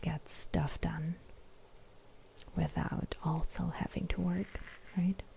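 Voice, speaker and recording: A soft-spoken woman whispering at a very slow pace. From Germany. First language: German. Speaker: ASMR creator. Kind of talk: livestream chat with viewers.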